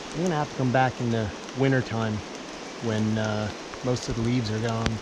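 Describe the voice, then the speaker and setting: Loud background noise sits behind a man's voice, which is dry with no echo. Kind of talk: casual vlog chat. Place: forest. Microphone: camera far.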